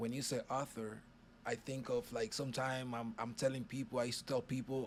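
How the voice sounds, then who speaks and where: A man speaks at a medium pitch in a Spanish accent. His pace is fairly quick. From Dominican Republic, Puerto Plata. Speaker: author. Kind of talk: casual chat.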